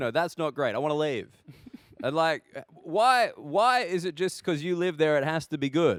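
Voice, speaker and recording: A man with an Australian accent talks at a moderate pace. His pitch is fairly high and his intonation is lively. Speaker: stand-up comedian. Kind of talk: interview answer.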